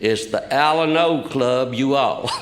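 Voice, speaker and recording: A man with a Southern US accent speaks at a very slow pace. Room echo is audible. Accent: southern drawl. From Kentucky, US South. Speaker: recovering alcoholic speaker. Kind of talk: testimony. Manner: halting.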